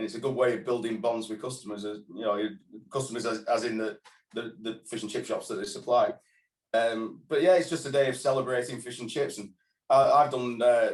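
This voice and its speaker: A man's fairly quick, medium-pitched speech in a northern English accent, with ordinary pitch variation. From northern England. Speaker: fish and chip shop owner and trade body president. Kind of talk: interview. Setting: video call.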